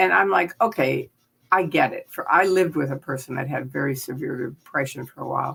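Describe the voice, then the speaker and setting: A woman with an American accent speaks at a fairly quick pace, her very deep, low pitch touched with vocal fry and lively intonation. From US Midwest, Chicago. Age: 70s. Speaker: former Scientology member and critic. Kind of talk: interview. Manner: animated.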